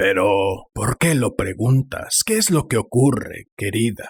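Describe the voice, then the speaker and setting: Using a put-on character voice, a man talks at a medium pitch and fairly slow pace, shaky yet very even in loudness, with lively intonation. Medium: read story. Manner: hesitant, stammering.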